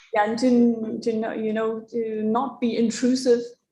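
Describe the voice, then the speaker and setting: A speaker with a non-native accent talks at a moderate pace in a dark, mellow, somewhat breathy voice with monotone, flat intonation and audible room echo. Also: woman. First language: not English. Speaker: moderator; tourist guide. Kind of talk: panel discussion. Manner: halting.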